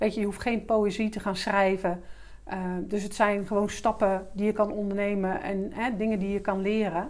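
Flat and monotone, a woman speaks at a medium pitch and a moderate pace. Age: 50s. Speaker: business English teacher and entrepreneur. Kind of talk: interview.

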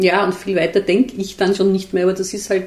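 Fairly quick talking from a woman, medium in pitch. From Austria, Vienna. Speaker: journalist and author. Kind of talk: interview conversation. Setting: on a couch in a living room. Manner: hesitant, with fillers and repetitions.

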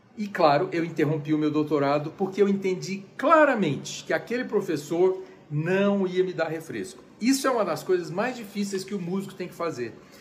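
With hardly any pauses, a man talks in a high pitch with ordinary variation, and the room echo is audible. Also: moderate pace. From Brazil. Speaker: conductor and music lecturer. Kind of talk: lecture. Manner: casual, chatty.

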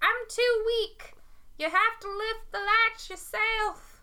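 Using a put-on character voice in a Southern US accent, a woman speaks at a fairly slow pace with an extremely high pitch. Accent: Southern American. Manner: weak, frail.

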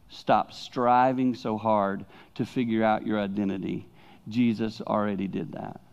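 A man in a Southern US accent speaks at a fairly slow pace and fairly low pitch with fairly even intonation over a quiet background. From the Carolinas. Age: 60s. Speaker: pastor. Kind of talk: sermon. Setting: church.

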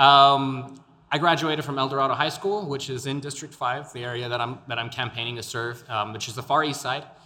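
Against noticeable background noise, a man with an American accent speaks at medium pitch with ordinary pitch variation. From El Paso, Texas. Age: 20s. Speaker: podcaster and local political candidate. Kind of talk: interview. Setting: studio.

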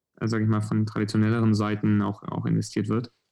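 A man talks at a very fast pace. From southwestern Germany, near Stuttgart. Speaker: venture capital investor. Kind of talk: podcast interview. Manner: hesitant, many fillers.

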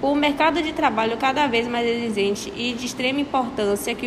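Recorded with audible room echo and noticeable background noise, a woman speaks at a moderate pace in a high pitch with ordinary pitch variation. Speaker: apprentice worker. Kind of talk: prepared talk read aloud.

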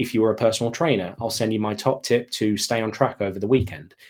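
In a very clean recording with a silent background, a man with an English accent talks very fast at medium pitch. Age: 30s. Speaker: email marketing consultant and author. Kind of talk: interview conversation.

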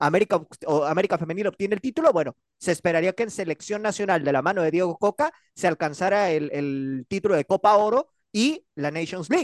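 Against a quiet background, in a dry, close sound with no echo, a man talks at a fairly quick pace with a high pitch and lively intonation. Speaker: radio sports panelist. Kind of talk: sports talk radio.

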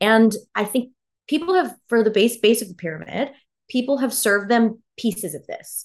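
A woman uses a normal speaking voice with a fairly high pitch. Her intonation is lively and her pace moderate. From Texas, Houston. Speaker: fintech strategy executive and startup co-founder. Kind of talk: interview.

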